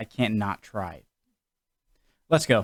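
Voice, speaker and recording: With an American accent, a man speaks in a very clean recording with a silent background. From New England, USA. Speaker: YouTube reaction host. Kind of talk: casual talk to camera. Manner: casual, joking.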